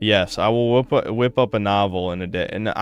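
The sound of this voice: An unforced reading voice carries the words. Pitch varies in an ordinary way.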